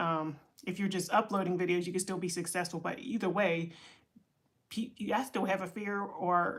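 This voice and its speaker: Her pitch fairly low and varying in an ordinary way, a woman with an American accent talks at a moderate pace. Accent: Pittsburgh accent (noted by viewers). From Pittsburgh, Pennsylvania (US). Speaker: content creator and entrepreneurship coach. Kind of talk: casual livestream talk. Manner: rambling, with many fillers and restarts.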